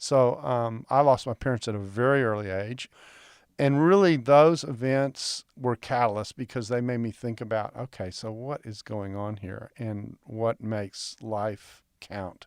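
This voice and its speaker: A man speaks at a fairly slow pace in an ordinary speaking voice, with medium pitch, ordinary pitch variation and big swings in loudness. The recording is very clean with a silent background and a dry, close sound with no echo. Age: 60s. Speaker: biblical scholar. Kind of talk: interview.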